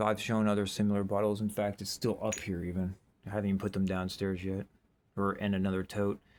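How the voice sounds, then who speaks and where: A very fast, monotone delivery with flat intonation, on a very clean recording with a silent background. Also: man, fairly low pitch for a man. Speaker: bottle digging video creator. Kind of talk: casual show-and-tell narration. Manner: rambling, filler-heavy.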